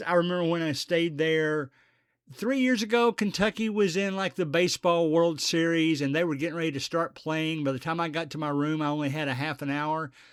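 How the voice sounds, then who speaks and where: Recorded very cleanly over a silent background, a man with an ordinary speaking voice talks at a fairly high pitch with ordinary pitch variation. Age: 60s. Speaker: podcast host. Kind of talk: casual monologue.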